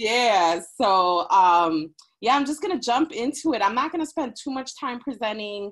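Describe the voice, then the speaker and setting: Barely pausing, a woman with an American accent talks at a moderate pace in a high pitch with very wide pitch swings. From Chicago. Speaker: professor. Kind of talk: guest talk on video panel.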